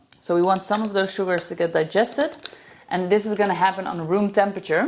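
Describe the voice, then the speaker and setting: With a Dutch accent, a woman speaks with ordinary pitch variation. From Netherlands. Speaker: professional chef and farmer. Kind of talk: cooking tutorial.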